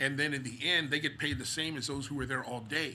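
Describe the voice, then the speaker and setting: A man speaks at medium pitch with a bright, sharp tone and fairly even intonation, and the room echo is audible. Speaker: preacher. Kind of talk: bible study. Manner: halting, many repetitions.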